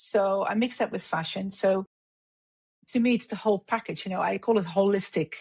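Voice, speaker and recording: A somewhat breathy woman at a medium pitch, moderate pace and fairly even intonation, in a dry, close sound with no echo. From Netherlands. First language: Dutch. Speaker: hairdresser and beauty industry executive. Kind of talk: podcast interview.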